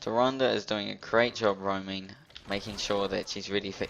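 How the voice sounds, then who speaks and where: This man speaks with a fairly low pitch. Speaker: gaming commentator. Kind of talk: gameplay commentary. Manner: fast.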